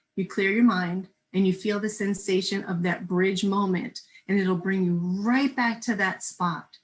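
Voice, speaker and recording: Somewhat breathy, a woman speaks at a medium pitch and a moderate pace. Her intonation is fairly even. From New Jersey. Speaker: spiritual minister. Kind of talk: casual chat.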